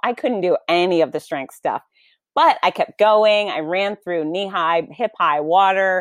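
A woman with an American accent talks at a moderate pace and a medium pitch. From Florida, US. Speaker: fitness expert and author. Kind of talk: interview conversation. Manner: animated.

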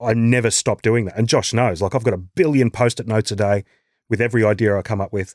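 Very clean and silent in the background, the recording has a dry, close sound with no echo. A man with an Australian accent speaks at a very fast pace in a medium pitch. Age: 40s. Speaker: actor and musician. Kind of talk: casual chat.

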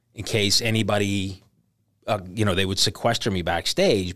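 At a moderate pace, a man uses an ordinary speaking voice at a fairly low pitch. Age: 50s. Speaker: stand-up comedian. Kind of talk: casual chat. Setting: studio.

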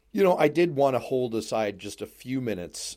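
At a moderate pace, a man speaks in an ordinary speaking voice on a very clean recording with a silent background. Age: 40s. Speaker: radio and podcast host. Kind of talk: casual chat.

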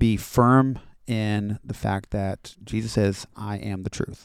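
A man speaks with an American accent at a fairly low pitch. His delivery is very slow, monotone and flat. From Florida, US. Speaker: high school Bible teacher. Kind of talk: casual interview conversation.

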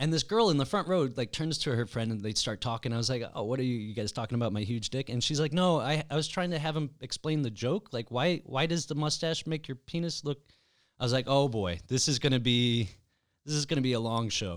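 In a very clean recording with a silent background, a man with a plain, everyday voice at medium pitch talks at a fairly quick pace with lively intonation. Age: 30s. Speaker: podcast host and comedian. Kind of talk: casual chat.

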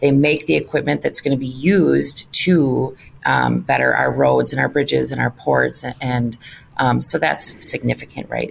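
At a moderate pace, a woman speaks with an Upper Midwest accent. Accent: Upper Midwest American. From Wisconsin, suburb of Milwaukee. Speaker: trade association president. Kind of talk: interview. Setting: office.

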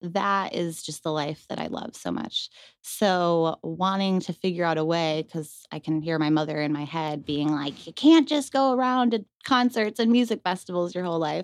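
With a Western New York accent, a woman talks at a moderate pace and fairly low pitch, with lively intonation and hardly any pauses. The sound is dry and close with no echo, over a quiet background. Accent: Western New York (Inland North) American. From Western New York, Rochester. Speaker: food trailer owner and cannabis activist. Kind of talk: casual interview.

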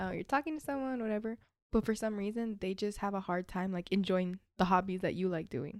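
A woman with an unremarkable speaking voice talks fairly quickly at a medium pitch. Her pitch varies in an ordinary way, and the recording is very clean with a silent background. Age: 20s. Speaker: podcast guest, college student. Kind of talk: casual chat. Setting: studio.

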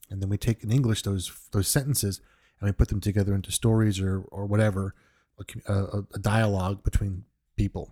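Dry and close with no echo, a man with an American accent speaks at a fairly quick pace and a fairly low pitch. His tone is dark and mellow, somewhat breathy, with monotone, flat intonation. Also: very clean recording, silent background. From New York. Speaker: music podcast host. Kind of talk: podcast monologue. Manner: halting, with frequent repetitions.

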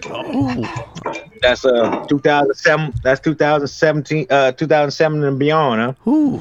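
A man with a fairly high pitch speaks at a very slow pace, his intonation fairly even and his loudness very even. Noticeable background noise is present. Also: dry, close sound with no echo. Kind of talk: casual chat. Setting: home studio.

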